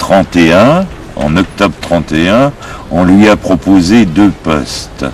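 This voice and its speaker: Despite noticeable background noise, a man's very deep, low voice comes through with lively intonation. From France, Berry. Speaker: war veteran and deserter. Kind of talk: testimony. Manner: halting.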